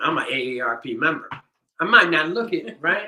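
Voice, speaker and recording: A man speaks with lively intonation. His tone is bright and sharp. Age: 60s. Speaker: percussionist leading a rhythm circle. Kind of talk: online workshop wrap-up talk. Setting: video stream. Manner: casual, halting with many fillers.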